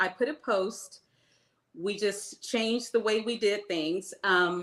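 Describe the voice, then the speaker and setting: A plain, everyday voice from a woman at medium pitch, with fairly even intonation. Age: 60s. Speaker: small business owner, baker. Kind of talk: interview.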